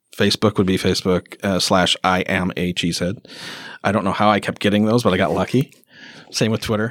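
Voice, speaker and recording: On a very clean recording with a silent background and a dry, close sound with no echo, a man with an American accent talks at a fairly quick pace, with a fairly low pitch and fairly even intonation. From northwestern Wisconsin. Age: 50s. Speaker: documentary filmmaker. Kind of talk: casual chat. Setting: community event.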